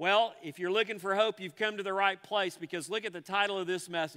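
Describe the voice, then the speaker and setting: Against a quiet background, a man speaks in a raised, projected voice with a bright, sharp tone and ordinary pitch variation. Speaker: pastor. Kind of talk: sermon. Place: church.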